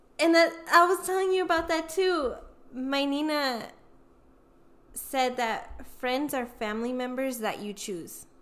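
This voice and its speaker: Speaking at a fairly slow pace, a woman has a high pitch and lively intonation. Long, frequent pauses fill her speech. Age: 20s. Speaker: podcast co-host. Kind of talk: casual chat. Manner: animated.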